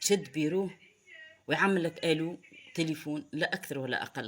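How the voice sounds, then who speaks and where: At a moderate pace, a woman with a Tunisian accent speaks in an animated tone. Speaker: political commentator. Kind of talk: online commentary monologue. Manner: halting.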